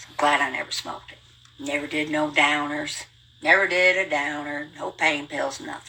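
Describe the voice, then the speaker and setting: A woman's very deep, low voice in an American accent, with big swings in loudness and noticeable background noise. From rural US hill country. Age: 70s. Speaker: livestreamer. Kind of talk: casual storytelling monologue. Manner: fast; animated.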